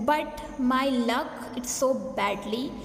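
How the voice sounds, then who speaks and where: A woman with a non-native accent speaks high, with fairly even intonation. Noticeable background noise is present. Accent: non-native English, many mistakes. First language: not English. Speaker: English learner. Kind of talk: casual talk to camera.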